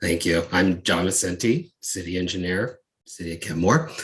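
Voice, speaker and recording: A man with a very deep, low pitch speaks at a moderate pace in a somewhat breathy voice. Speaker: city engineer. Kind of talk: public meeting presentation.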